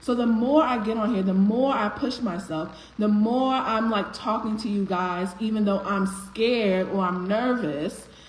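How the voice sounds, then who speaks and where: Against noticeable background noise, a woman with a fairly high pitch speaks in an animated tone with ordinary pitch variation and hardly any pauses. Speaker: motivational speaker, live stream host. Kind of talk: live stream motivational talk. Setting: live stream. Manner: voice cracks slightly from nerves; conversational, animated.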